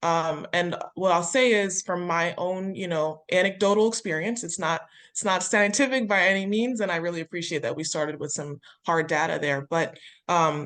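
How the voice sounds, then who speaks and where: A woman with an American accent has a plain, everyday voice at medium pitch with ordinary pitch variation. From US, Delaware suburbs. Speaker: state legislator, webinar panelist. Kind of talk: webinar panel discussion.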